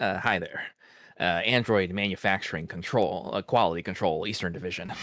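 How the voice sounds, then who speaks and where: A nasal, put-on character voice at a fairly quick pace. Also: man, very deep, low pitch for a man. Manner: hesitant, meek.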